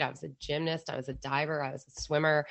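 This woman, with an American accent, speaks in a very deep, low pitch. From Philadelphia, US. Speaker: former extremist and deradicalization advocate. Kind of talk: casual interview conversation. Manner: casual, laughing.

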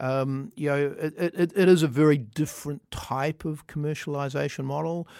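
A man with a New Zealand accent and fairly high pitch speaks with fairly even intonation and hardly any pauses, in a dry, close sound with no echo on a very clean recording with a silent background. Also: moderate pace. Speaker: tech executive. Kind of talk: interview. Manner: halting, many fillers.

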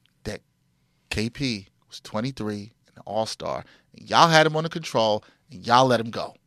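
In a very clean recording with a silent background and a dry, close sound with no echo, a man speaks in an animated, bright, sharp tone with ordinary pitch variation and long, frequent pauses. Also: medium pitch for a man, moderate pace. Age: 30s. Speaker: podcast host. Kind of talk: casual chat. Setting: studio.

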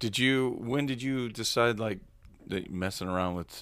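A man with an unremarkable speaking voice, medium pitch and moderate pace. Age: 40s. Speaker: podcast host, punk musician. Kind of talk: casual chat. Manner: laid-back, slangy.

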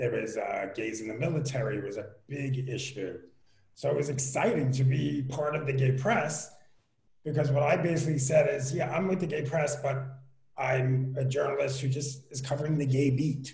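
Recorded with audible room echo, a man with a fairly high, somewhat breathy voice speaks with ordinary pitch variation. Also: moderate pace. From New York, Queens. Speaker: entertainment journalist. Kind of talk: casual chat.

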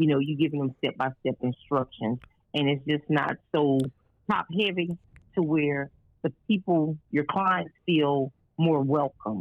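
A woman speaks at a fairly slow pace in a very deep, low voice. Her loudness stays very even throughout. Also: ordinary pitch variation. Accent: Louisiana. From rural Louisiana, US South. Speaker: caterer and restaurant owner. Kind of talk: interview.

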